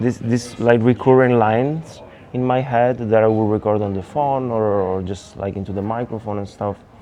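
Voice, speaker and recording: A man with an Italian accent speaks with fairly even intonation. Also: medium pitch for a man, moderate pace, hardly any pauses. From Italy. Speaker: electronic music producer. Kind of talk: interview monologue. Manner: halting.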